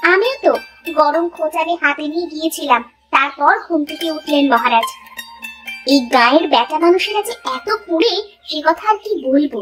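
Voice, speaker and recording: In a cartoonish character voice, a woman speaks at a moderate pace and an extremely high pitch, with faint music in the background. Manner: brisk, scolding.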